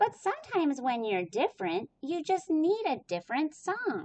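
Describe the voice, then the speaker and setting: A put-on character voice with very wide pitch swings. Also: woman, high pitch for a woman, moderate pace. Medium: read story.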